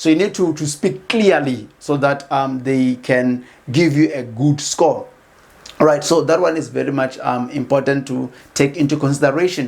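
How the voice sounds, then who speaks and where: A man speaks with a fairly high pitch. His pitch variation is ordinary. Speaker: educational YouTuber. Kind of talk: tutorial. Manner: fast; halting, many fillers and repeats.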